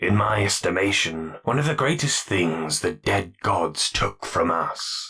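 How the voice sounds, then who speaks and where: Putting on a character voice, a man speaks at a fairly slow pace, his very deep, low pitch swinging very widely. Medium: read story. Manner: measured, cultured.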